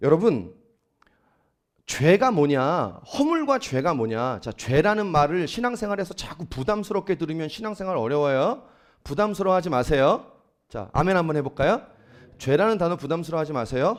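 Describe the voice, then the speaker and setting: A man speaks at a high pitch with very wide pitch swings. The recording is very clean, with a silent background. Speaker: pastor. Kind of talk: sermon. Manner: fast.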